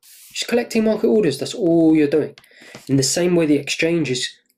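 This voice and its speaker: On a very clean recording with a silent background, a man with a British accent speaks with lively intonation. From UK. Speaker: trading course instructor. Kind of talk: lecture. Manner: animated.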